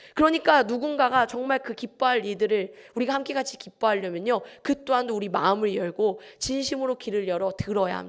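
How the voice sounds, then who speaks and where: Her pitch sits fairly high for a woman. She uses ordinary pitch variation. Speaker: pastor. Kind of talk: sermon. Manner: fast.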